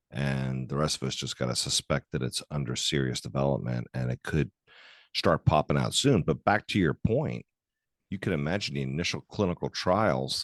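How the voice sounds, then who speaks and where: With vocal fry and a very deep, low pitch, a man talks at a fairly quick pace with ordinary pitch variation, in a dry, close sound with no echo over a quiet background. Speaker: podcast host, orthopaedic surgeon. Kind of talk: casual interview. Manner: stuttering at times.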